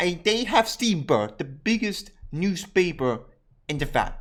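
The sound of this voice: A man speaks with big swings in pitch. His tone is fairly bright.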